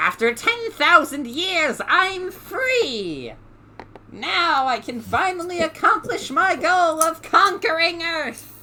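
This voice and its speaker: The speaker puts on a character voice, pitched extremely high and delivered at a very slow pace. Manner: triumphant, menacing.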